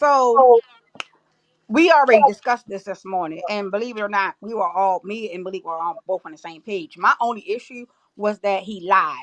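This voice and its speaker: Her voice dry and close with no echo, a woman of medium pitch speaks at a moderate pace with lively intonation and big swings in loudness. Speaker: live stream panelist. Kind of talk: casual chat.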